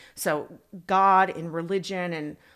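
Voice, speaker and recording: In a very clean recording with a silent background, a woman with an American accent speaks at a fairly low pitch. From Northern California, San Francisco Bay area. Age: 50s. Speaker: former adult film performer and TV personality. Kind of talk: casual interview chat.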